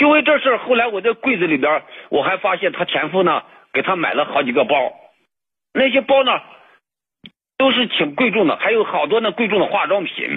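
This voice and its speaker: A man speaks with a high pitch and very wide pitch swings. Long, frequent pauses break up his speech. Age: 40s. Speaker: caller. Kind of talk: call-in advice conversation. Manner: halting.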